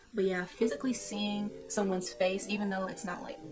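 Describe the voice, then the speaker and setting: Music plays in the background as a woman talks at a fairly quick pace and medium pitch, with audible room echo. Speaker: YouTuber giving self-help advice. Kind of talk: casual vlog talk. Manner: casual, with fillers.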